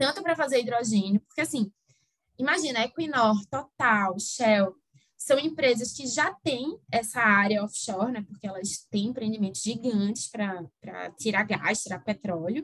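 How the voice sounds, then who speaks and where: Her pace is fairly slow and her pitch fairly high. This woman's intonation is lively. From Recife, northeast Brazil. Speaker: energy-sector lawyer. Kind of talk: interview.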